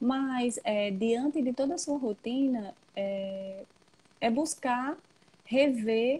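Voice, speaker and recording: Soft-spoken and dark, mellow in tone, a woman talks at a fairly high pitch. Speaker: psychologist. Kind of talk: interview. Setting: Instagram live video call.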